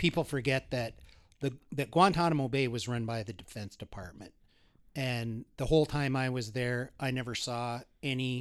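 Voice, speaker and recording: Recorded very cleanly against a silent background, a man with an Upper Midwest accent speaks at a medium pitch and a moderate pace, his intonation fairly even. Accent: Upper Midwest American. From North Dakota, Bismarck. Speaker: criminal defense attorney. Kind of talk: interview conversation.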